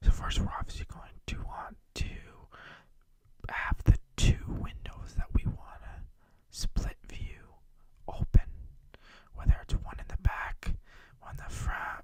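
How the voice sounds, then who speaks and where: Whispering fills this clip, broken by long, frequent pauses. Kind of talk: ASMR tech tutorial. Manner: whispered.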